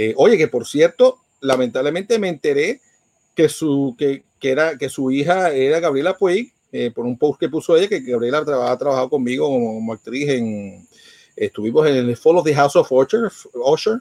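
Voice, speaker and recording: With lively intonation and a fairly high pitch, a man speaks at a moderate pace over a quiet background, the sound dry and close with no echo. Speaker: podcast host and radio host. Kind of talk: news reading; casual chat. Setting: live stream from home. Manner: animated.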